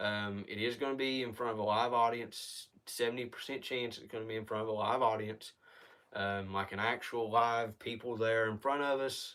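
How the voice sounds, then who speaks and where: On a very clean recording with a silent background, a man at medium pitch speaks in a bright, sharp tone with fairly even intonation. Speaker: channel owner, indie filmmaker. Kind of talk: live stream news briefing. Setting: live stream. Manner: fast; hesitant, many fillers.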